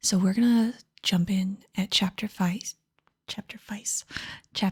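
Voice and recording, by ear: A natural voice reads aloud with fairly even intonation. Behind it, the background stays quiet.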